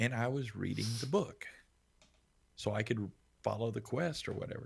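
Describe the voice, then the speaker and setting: A man with a medium-pitched voice and some vocal fry speaks at a moderate pace. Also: ordinary pitch variation. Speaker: streamer, military veteran. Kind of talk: casual chat. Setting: live stream. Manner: calm, low energy.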